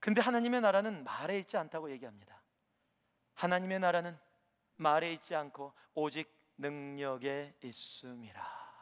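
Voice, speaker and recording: At a moderate pace, the voice has lively intonation and an animated tone, broken by long, frequent pauses. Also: man, fairly high pitch for a man. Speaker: preacher. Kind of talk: sermon. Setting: church. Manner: animated, rhetorical questions, exhorting the congregation.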